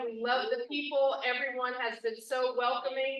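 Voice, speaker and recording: A woman's raised, projected voice, high in pitch with a bright, sharp tone. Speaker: small business owner, veteran. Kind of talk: promotional announcement. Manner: loud.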